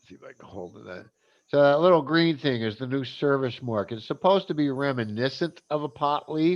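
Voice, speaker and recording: With a normal speaking voice, a man talks at a fairly quick pace with a fairly high pitch, lively intonation and big swings in loudness. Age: 60s. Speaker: cannabis advocate. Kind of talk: casual chat.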